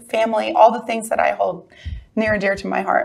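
This is a woman's voice. It has vocal fry. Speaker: talk show guest. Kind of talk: interview answer. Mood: excited, smiling storytelling. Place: studio. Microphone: lapel.

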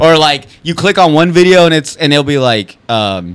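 A man speaks in a plain, everyday voice. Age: 20s. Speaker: podcast host. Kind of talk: casual chat. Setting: studio.

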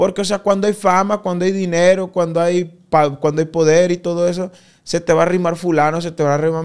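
A man talks in a plain, everyday voice. His pace is fairly quick and his intonation fairly even. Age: 20s. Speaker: corrido singer. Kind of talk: casual interview chat.

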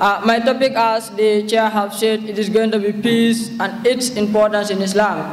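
A man speaks at a moderate pace in a high pitch with monotone, flat intonation. Light background noise sits behind him. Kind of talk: formal speech. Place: hall. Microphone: podium.

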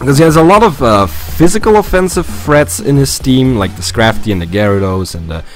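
Music plays behind a man speaking at a moderate pace. His pitch swings very widely, and the sound is dry with no echo. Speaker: game commentator. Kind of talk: gameplay commentary.

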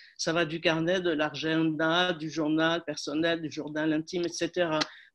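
A woman speaks against a quiet background. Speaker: academic seminar participant. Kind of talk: academic discussion. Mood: calm, collegial. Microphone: video call.

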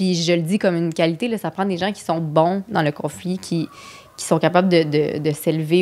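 Fairly low-pitched woman at a moderate pace, with fairly even intonation and noticeable background noise. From Quebec City suburbs. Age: 30s. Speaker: comedian and screenwriter. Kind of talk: casual chat.

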